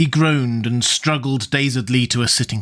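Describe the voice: Just plain reading aloud.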